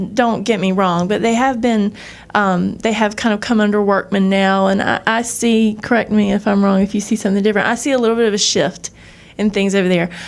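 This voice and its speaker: The speaker has a Southern US accent. Loudness stays very even, and the intonation is fairly even. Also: woman, medium pitch for a woman, fairly quick pace. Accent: Southern American. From US South. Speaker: freelance editor. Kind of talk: panel discussion. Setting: bookstore event with audience.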